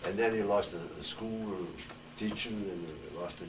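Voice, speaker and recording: A man talks at a fairly low pitch and a moderate pace. Noticeable background noise and audible room echo surround him. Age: 80s+. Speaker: retired pro wrestler. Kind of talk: panel talk. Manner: halting.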